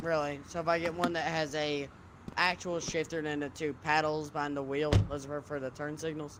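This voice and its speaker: Fairly quick, monotone, flat speech from a man with a fairly high pitch and a slight Southern US accent. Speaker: gamer in roleplay server. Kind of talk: casual chat.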